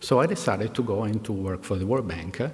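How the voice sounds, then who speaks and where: A man speaks in an Italian accent at a medium pitch. His intonation is lively and his pace fairly quick. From Italy, Milan. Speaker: executive, commencement speaker. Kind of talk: commencement speech. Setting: graduation ceremony with audience. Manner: hesitant, many fillers.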